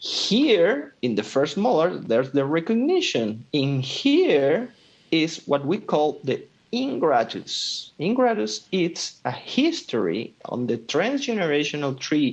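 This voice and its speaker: The speech comes at a very slow pace with a non-native accent. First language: not English. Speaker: dental decoding practitioner. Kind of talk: lecture. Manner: halting.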